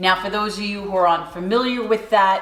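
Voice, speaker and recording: A New York accent with audible room echo. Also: woman. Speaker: cooking channel host. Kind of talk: tutorial. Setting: home kitchen.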